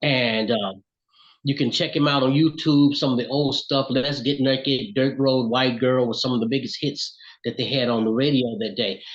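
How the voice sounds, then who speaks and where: A man speaks in a Southern US accent. His intonation is fairly even. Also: medium pitch for a man, moderate pace. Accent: US South. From Alabama, Florence. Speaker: singer and songwriter. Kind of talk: interview.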